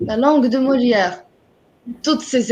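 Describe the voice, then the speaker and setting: A woman with an Arabic accent speaks at a high pitch. Her intonation is fairly even, and the background is quiet. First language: Arabic (speaking French). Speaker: writer. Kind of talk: interview. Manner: halting.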